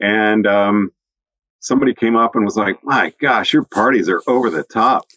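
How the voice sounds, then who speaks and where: Medium-pitched male speech in a bright, sharp tone at a moderate pace, with ordinary pitch variation, very even loudness, and a dry, close sound with no echo. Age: 60s. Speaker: ski instructor and podcast host. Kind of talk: casual chat.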